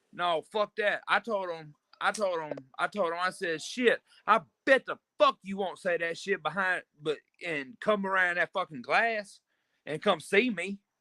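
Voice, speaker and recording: A man projects his raised, high-pitched voice at a moderate pace, with a bright, sharp tone, ordinary pitch variation and a dry, close sound with no echo. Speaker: streamer. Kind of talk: casual chat. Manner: loud; animated.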